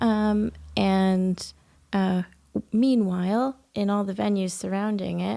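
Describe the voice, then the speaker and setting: At a very slow pace, a woman speaks in a medium pitch with a dark, mellow tone and fairly even intonation, recorded very cleanly with a silent background. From Canada, Ontario. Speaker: poet and festival volunteer coordinator. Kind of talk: podcast interview. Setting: recording at a historic house.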